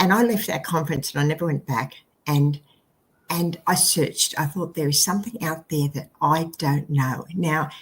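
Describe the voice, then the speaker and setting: Speaking at a moderate pace with an Australian accent, a woman with a very deep, low, somewhat breathy voice uses ordinary pitch variation. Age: 70s. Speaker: book co-author. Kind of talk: interview conversation. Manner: halting.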